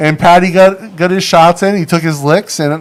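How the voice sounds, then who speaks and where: A man with a New England accent at a moderate pace. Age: 40s. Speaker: livestream host and former pro boxer. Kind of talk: casual chat. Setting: studio livestream. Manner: animated.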